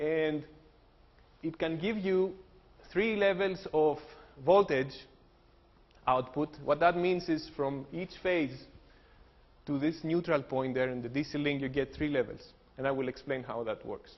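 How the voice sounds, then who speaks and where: Speaking in a Greek accent, a man with a fairly high pitch talks fairly slowly with ordinary pitch variation and long, frequent pauses. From Greece. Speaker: engineering professor. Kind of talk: lecture.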